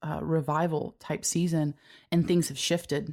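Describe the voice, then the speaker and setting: In a very clean recording with a silent background, a woman speaks at a moderate pace in a very deep, low pitch with monotone, flat intonation. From US, Cuban-American family. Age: 30s. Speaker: church creative staff leader. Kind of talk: casual chat.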